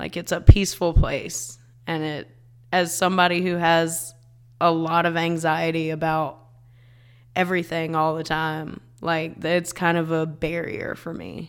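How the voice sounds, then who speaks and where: A woman speaks at a fairly slow pace in a fairly low pitch. Her intonation is fairly even, but her loudness swings widely. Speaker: comedian. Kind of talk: casual chat. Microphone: too far from the mic.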